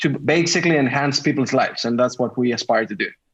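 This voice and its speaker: With a Greek accent, a man speaks at a fairly high pitch. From Greece. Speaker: tech startup founder. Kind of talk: podcast interview.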